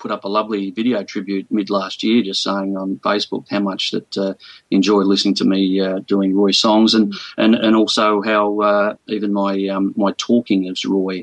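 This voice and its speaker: Dry and close with no echo, a man's fairly low voice with an Australian accent keeps a monotone, flat intonation at a moderate pace. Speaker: singer, tribute performer. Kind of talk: radio interview. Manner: halting.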